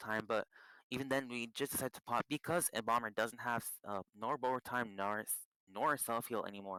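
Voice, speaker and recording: This man has a non-native accent and a bright, sharp tone at a medium pitch. He keeps a moderate pace and fairly even intonation, with a dry, close sound and no echo. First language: not English. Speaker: esports caster. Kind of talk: live commentary.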